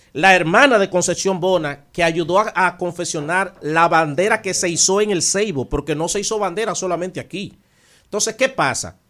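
A man's high voice at a fairly quick pace on a very clean recording with a silent background. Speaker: philosopher and researcher. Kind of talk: radio interview about history.

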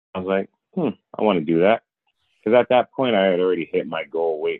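The man's voice is very deep and low in pitch. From Rhode Island, US. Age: 30s. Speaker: weight loss story guest, bodybuilder. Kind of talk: casual interview chat.

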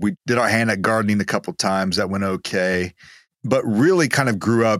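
A man speaks with an American accent. The recording is very clean and dry, close with no echo and a silent background. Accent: East Texas, cleaned up, slight. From East Texas. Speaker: guest, business entrepreneur. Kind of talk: podcast interview, faith-based talk.

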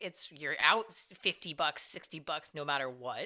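On a very clean recording with a silent background, a woman with an American accent speaks in a bright, sharp tone. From California. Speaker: cannabis research scientist. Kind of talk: casual interview conversation.

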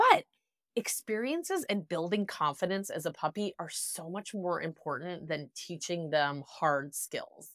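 In a very clean recording with a silent background, a woman with a Wisconsin accent talks at a fairly slow pace in a fairly low voice with ordinary pitch variation. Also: dry, close sound with no echo. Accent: Wisconsin Midwestern US. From Wisconsin, US. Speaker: dog trainer. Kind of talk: interview conversation.

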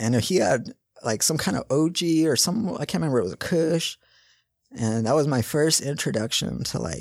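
In a very clean recording with a silent background and a dry, close sound with no echo, a man with an American accent talks at a moderate pace with very wide pitch swings. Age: 30s. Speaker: medical cannabis patient. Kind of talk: interview testimony.

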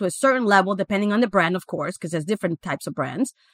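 A woman's medium-pitched, very fast speech with lively intonation, dry and close with no echo, in a very clean recording with a silent background. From Guatemala. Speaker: franchise business coach. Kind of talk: interview.

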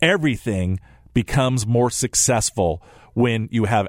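In a very clean recording with a silent background and a dry, close sound with no echo, a man has an ordinary speaking voice at a medium pitch with ordinary pitch variation. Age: 50s. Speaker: financial advisor and radio host. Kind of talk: radio talk show monologue.

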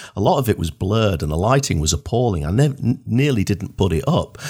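A man talks at a moderate pace. He has a Northern English accent. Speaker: podcast host. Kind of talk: interview. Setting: video call.

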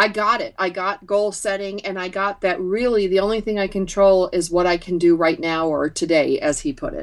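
With an American accent and an ordinary speaking voice, a woman at medium pitch talks at a moderate pace with ordinary pitch variation and hardly any pauses. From upstate New York. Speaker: entrepreneur and author. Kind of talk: interview.

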